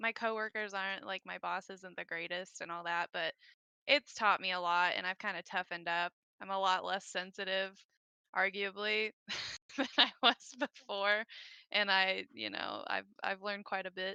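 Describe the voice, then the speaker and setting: A woman's medium-pitched voice, bright and sharp in tone, with fairly even intonation at a moderate pace. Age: 20s. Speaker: podcast guest, government employee. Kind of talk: casual chat. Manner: halting.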